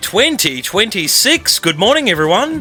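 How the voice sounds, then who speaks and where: A man uses a raised, projected voice with very wide pitch swings. Noticeable background noise can be heard. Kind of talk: morning radio show host. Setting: radio.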